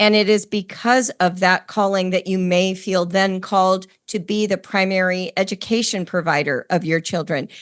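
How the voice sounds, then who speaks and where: A woman with a plain, everyday voice speaks at a medium pitch and moderate pace with fairly even intonation and hardly any pauses, the background quiet. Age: 60s. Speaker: podcast host. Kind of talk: interview conversation.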